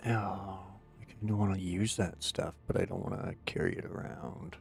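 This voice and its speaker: A man with an unremarkable speaking voice talks at a moderate pace, fairly low in pitch and with fairly even intonation. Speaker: gaming streamer. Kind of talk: live gameplay commentary. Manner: casual, chatty.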